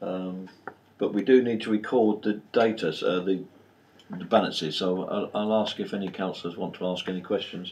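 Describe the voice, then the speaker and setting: A man speaks at a moderate pace with fairly even intonation and a fairly low pitch. His is a plain, everyday voice, with light background noise behind it. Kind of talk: meeting chairing. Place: meeting room. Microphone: camera far.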